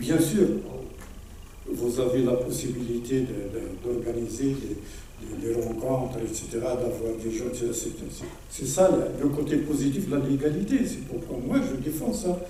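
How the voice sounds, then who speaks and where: Over noticeable background noise and audible room echo, a man speaks at a fairly slow pace, medium pitch and ordinary pitch variation. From Morocco. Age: 70s. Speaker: former political prisoner and activist speaker. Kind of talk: conference Q&A answer. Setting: hall with audience. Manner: repetitive, halting.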